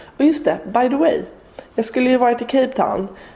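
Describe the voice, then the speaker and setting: A woman talks amid noticeable background noise. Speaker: travel podcast host. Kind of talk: casual travel monologue.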